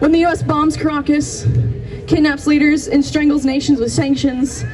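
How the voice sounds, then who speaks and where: Over music in the background and audible room echo, a woman with an American accent speaks fairly quickly in a high pitch. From US Pacific Northwest. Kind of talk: rally speech. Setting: outdoor rally.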